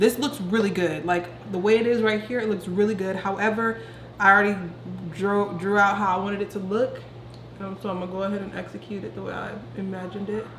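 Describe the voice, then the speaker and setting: Amid noticeable background noise and audible room echo, a woman of medium pitch talks at a very fast pace with fairly even intonation and big swings in loudness. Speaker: beauty vlogger. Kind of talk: tutorial. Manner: quiet.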